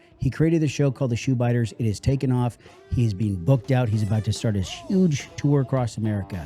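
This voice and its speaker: A man at a very fast pace and medium pitch, with lively intonation, very even loudness and music in the background. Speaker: podcast host. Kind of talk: show host introduction.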